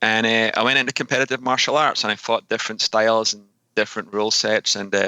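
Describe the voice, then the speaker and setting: A man with a Scottish accent, bright and sharp in tone, monotone and flat, very fast, very even in loudness, in a dry, close sound with no echo on a very clean recording with a silent background. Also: medium pitch for a man. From Scotland. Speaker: fitness coach and author. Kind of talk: podcast interview.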